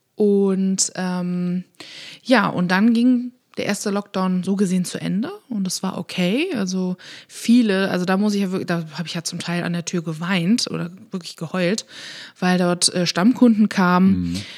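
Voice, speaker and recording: A woman talks in an ordinary speaking voice at medium pitch, with fairly even intonation and a moderate pace. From Rhineland, Germany (Königswinter near Bonn). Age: 30s. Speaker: café owner. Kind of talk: casual interview. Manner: laughs often.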